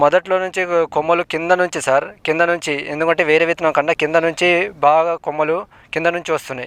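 A man speaks at a high pitch with monotone, flat intonation. The background is quiet, and the sound is dry and close with no echo. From Telangana, Bhadradri Kothagudem district. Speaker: farmer. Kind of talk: testimonial interview.

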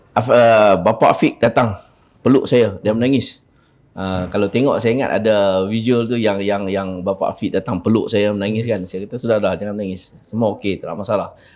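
A man speaks in an ordinary speaking voice at a moderate pace. His pitch is fairly low and his intonation fairly even. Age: 40s. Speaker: liver donor. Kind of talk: interview testimony. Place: studio. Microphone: lapel.

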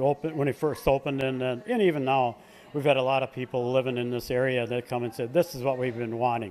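A man talks at a fast pace with fairly even intonation. His tone is slightly mellow.

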